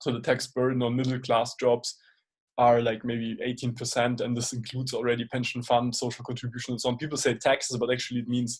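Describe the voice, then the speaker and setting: The man talks at a very fast pace in a medium pitch. His somewhat breathy delivery stays monotone and flat. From Germany, Munich. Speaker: software career mentor, interviewer. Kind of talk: casual interview chat. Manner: hesitant, many fillers.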